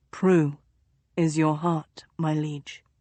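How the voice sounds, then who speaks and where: Using a put-on character voice, a woman speaks with a very deep, low pitch and monotone, flat intonation. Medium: read story.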